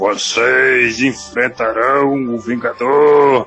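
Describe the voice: A booming put-on character voice from a man, medium in pitch, at a very slow pace with fairly even intonation, over faint music in the background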